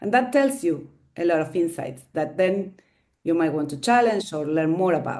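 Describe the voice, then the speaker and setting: A woman's fairly low, dark and mellow voice with a Spanish accent, lively intonation and a moderate pace. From Argentina. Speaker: staff member of women's network. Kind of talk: webinar discussion. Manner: halting, many fillers.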